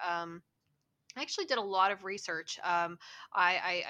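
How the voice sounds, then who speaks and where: A bright, sharp tone with a West Virginia accent, on a very clean recording with a silent background. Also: woman. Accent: West Virginian Appalachian. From West Virginia, US. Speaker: cosplayer. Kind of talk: casual interview.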